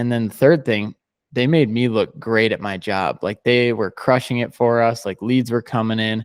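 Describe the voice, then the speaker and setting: With an ordinary speaking voice, a man keeps a moderate tempo and fairly even intonation. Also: dry, close sound with no echo. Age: 20s. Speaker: digital marketing agency founder. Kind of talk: podcast interview.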